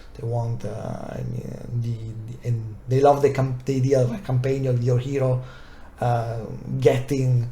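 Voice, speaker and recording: Amid audible room echo, a man with a non-native accent talks at a medium pitch and fairly slow pace. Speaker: tabletop wargaming youtuber. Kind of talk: unscripted review. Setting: recorded video to camera. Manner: hesitant, many fillers.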